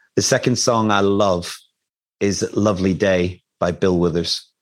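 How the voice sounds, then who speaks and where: A man's fairly low voice in an Irish accent, with fairly even intonation. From Ireland. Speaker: nonprofit CEO. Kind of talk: interview.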